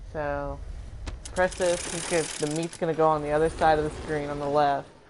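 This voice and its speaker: Over noticeable background noise, a man speaks at a moderate pace in a fairly high pitch with monotone, flat intonation. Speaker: gamer streamer. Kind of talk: live gameplay commentary. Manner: casual.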